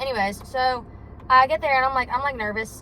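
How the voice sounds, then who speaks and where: A woman rattles along very fast while noticeable noise fills the background. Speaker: vlogger. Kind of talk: casual vlog monologue. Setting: in a car. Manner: loud; rambling with many fillers.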